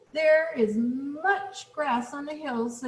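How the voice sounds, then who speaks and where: A woman puts on a character voice, pitched high. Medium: read story.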